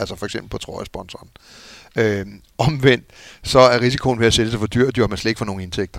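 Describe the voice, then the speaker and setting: Speech comes at a very fast pace with fairly even intonation and long, frequent pauses, on a very clean recording with a silent background. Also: man, medium pitch for a man. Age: middle-aged. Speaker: former football club executive. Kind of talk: casual chat. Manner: halting.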